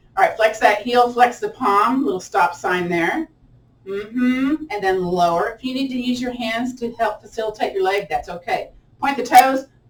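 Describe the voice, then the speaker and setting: A woman's fairly high, lively voice at a moderate pace, with noticeable background noise. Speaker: yoga and tai chi instructor. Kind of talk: guided exercise class. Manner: animated.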